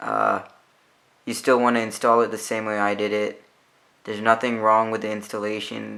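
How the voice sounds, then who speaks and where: Male speaker at a moderate pace. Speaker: tech youtuber. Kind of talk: tutorial. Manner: quiet.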